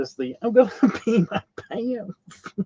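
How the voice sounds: Putting on a character voice, a man speaks fairly slowly at a high pitch with very wide pitch swings, sounding breathy and wheezy.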